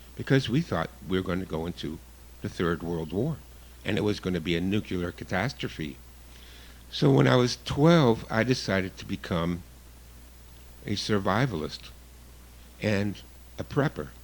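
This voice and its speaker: Using a very deep, low voice with vocal fry, a man speaks with very wide pitch swings and long, frequent pauses. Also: moderate pace. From Canada. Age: 60s. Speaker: guest radio host, survivalist. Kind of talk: radio talk show monologue. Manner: casual, some hesitations.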